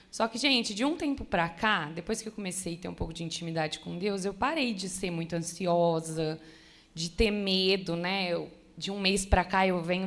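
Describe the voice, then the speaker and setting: This woman has an ordinary speaking voice, medium in pitch, with ordinary pitch variation and a moderate pace. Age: 20s. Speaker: church member sharing testimony. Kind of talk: testimony. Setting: church women's conference.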